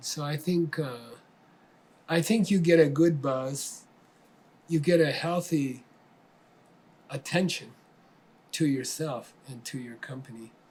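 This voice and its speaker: In an American accent, a man talks at a fairly slow pace with a fairly high pitch and a somewhat breathy quality. His pitch varies in an ordinary way while his loudness swings widely, broken by long, frequent pauses. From Arizona, US. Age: 70s. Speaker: spiritual teacher. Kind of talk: interview answers. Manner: halting, with many fillers and repeats.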